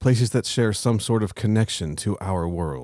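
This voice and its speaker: A man's fairly low pitch and dark, mellow tone on a very clean recording with a silent background. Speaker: podcast co-host. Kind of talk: reading aloud own fan fiction.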